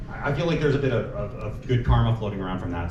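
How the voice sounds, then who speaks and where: A man with a medium-pitched voice speaks in a room with audible echo and noticeable background noise. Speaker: webcomic artist giving a convention panel. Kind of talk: convention panel talk. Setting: stage with audience at a convention. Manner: stuttering, halting with many repetitions.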